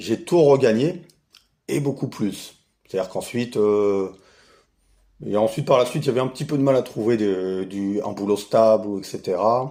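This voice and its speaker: At a moderate pace with long, frequent pauses, a man speaks in a dark, mellow tone at medium pitch with ordinary pitch variation, captured in a very clean recording with a silent background. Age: 40s. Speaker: retired investor, channel owner. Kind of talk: casual self-introduction monologue. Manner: hesitant, many fillers.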